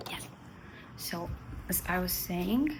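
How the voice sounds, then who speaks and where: In a room with audible echo, a woman speaks with an Armenian accent. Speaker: vlogger. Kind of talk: casual vlog chat to camera. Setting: at home. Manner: halting, with pauses and fillers.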